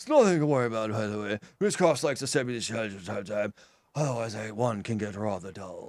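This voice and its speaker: A man speaks in a put-on character voice. His pace is very fast and his pitch medium. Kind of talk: posh, formal. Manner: calm, reassuring, creepy.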